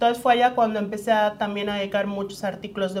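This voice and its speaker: Flat, monotone intonation from a woman at medium pitch. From Mexico, Yucatán. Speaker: human rights lawyer. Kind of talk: interview.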